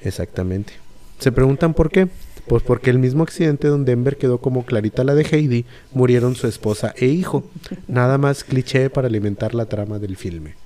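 At a fairly quick pace, a man talks in a dark, mellow tone at medium pitch with ordinary pitch variation. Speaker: podcast host. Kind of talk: plot narration; casual chat.

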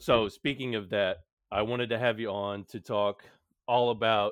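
With an American accent, a man speaks at a fairly slow pace and with fairly even intonation. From Houston, Texas. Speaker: podcast host. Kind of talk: casual chat.

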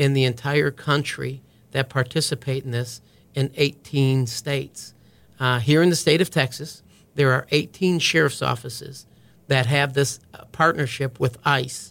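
A man with an American accent has an ordinary speaking voice at a medium pitch, talking at a fairly slow pace with fairly even intonation. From US Midwest, small-town Wisconsin. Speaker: county sheriff, army veteran. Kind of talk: podcast interview.

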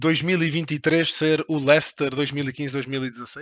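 Fairly even in intonation, a man with a fairly high pitch is heard in a dry, close sound with no echo over a quiet background. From Portugal. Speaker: podcast host. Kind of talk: interview.

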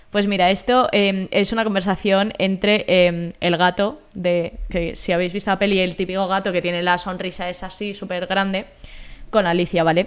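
A woman uses an ordinary speaking voice at a medium pitch. Her pace is moderate and her intonation fairly even. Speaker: podcast co-host, university student. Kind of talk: casual chat.

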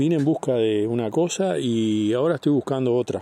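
Dark and mellow in tone, the man's voice rests at a medium pitch. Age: 60s. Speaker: patient. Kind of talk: testimony. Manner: halting.

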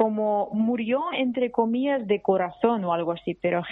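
Ordinary pitch variation runs through a woman's fairly high voice, which is a normal speaking voice. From Russia. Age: young. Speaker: journalist. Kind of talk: interview.

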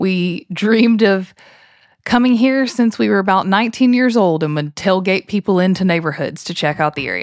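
Very clean recording, silent background, and a woman with a plain, everyday voice. She speaks at medium pitch and a moderate pace with lively intonation. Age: 30s. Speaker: podcast co-host, former teacher. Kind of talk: casual chat.

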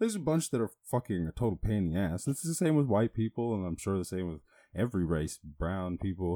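Very fast and lively in intonation, a man talks at a fairly low pitch in a dry, close, echo-free sound, in a very clean recording with a silent background. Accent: Irish. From Ireland, rural small town. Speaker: podcaster. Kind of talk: casual monologue. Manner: halting, filler-heavy.

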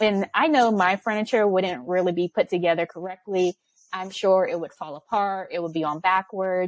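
This woman has a normal speaking voice of medium pitch, with ordinary pitch variation at a moderate pace, in a dry, close recording with no echo. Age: 30s. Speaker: business operations consultant. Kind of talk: interview.

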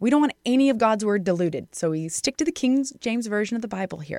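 This woman has a plain, everyday voice, fairly high in pitch, with lively intonation. The sound is dry and close with no echo, in a very clean recording with a silent background. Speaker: radio host. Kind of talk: radio show hosting with teaching. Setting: radio studio.

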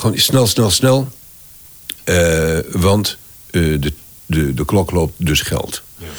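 This man speaks with a French accent in a very deep, low pitch. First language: French (speaking Dutch). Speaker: voice actor and voice director. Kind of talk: interview conversation. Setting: at his home.

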